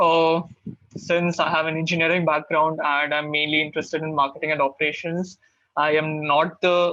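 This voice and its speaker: Speaking with an Indian accent, the voice has a bright, sharp tone and a monotone, flat intonation. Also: man. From India, Karnataka family, raised in Maharashtra. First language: Kannada. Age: 20s. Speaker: MBA student mentor. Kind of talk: webinar Q&A.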